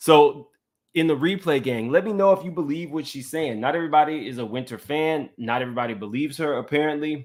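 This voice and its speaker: With a slight Louisiana accent, a man speaks at a very fast pace. His pitch is fairly high and varies in an ordinary way. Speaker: YouTube commentary host. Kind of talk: live stream commentary. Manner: casual, conversational.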